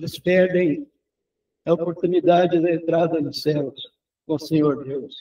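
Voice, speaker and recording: A man's high voice, fairly slow and fairly even, with long, frequent pauses. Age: 80s+. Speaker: preacher. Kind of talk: sermon.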